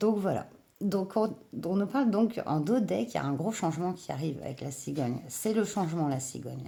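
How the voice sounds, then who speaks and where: A woman's fairly low, dark and mellow voice with a strong Breton accent, very wide pitch swings and a moderate pace. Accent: marked Breton. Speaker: tarot reader. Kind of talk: tarot reading. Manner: hesitant, many fillers.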